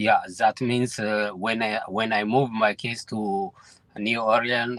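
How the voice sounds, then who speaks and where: Speaking very slowly at a medium pitch, a man comes through a dry, close recording with no echo but with noticeable background noise. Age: 50s. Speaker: caller. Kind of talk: phone-in question. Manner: halting.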